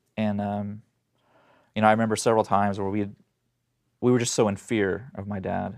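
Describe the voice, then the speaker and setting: On a very clean recording with a silent background, a man with an American accent speaks at a fairly quick pace in a fairly low, monotone, flat voice, leaving long, frequent pauses. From Oklahoma, US. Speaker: domestic violence survivor and speaker. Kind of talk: interview, personal testimony. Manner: fast.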